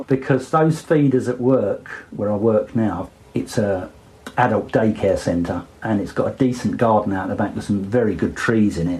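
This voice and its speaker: This man has an Essex accent and a medium pitch. His voice is somewhat breathy. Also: ordinary pitch variation, moderate pace. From Essex, England. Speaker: birder. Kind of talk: interview answer.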